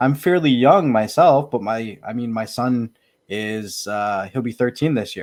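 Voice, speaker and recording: On a very clean recording with a silent background, a man with an unremarkable speaking voice talks at a fairly slow pace, his medium pitch carried by lively intonation. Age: 30s. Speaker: podcast co-host. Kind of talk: casual chat.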